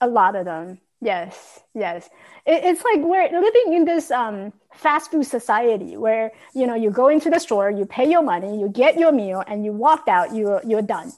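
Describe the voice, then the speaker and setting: A woman's pitch swings very widely as she talks at a medium speed. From Taiwan. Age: 40s. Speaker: confidence and leadership coach, author. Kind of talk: casual interview.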